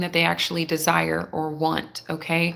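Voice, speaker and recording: A quiet voice at a moderate pace. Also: woman. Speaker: tarot reader. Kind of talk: live tarot reading. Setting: live stream. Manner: quiet, holding back volume.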